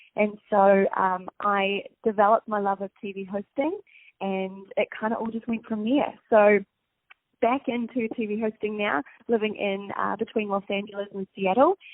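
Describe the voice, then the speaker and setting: A woman with a New Zealand accent, fairly even intonation and a moderate pace. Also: medium pitch for a woman. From New Zealand, Napier. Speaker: TV host. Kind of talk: interview. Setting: phone call.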